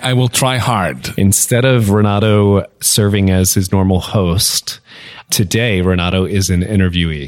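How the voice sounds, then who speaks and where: Recorded very cleanly over a silent background, a plain, everyday voice moves at a fairly slow pace with ordinary pitch variation and very even loudness. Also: man, fairly low pitch for a man. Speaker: podcast co-host. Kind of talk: casual interview chat.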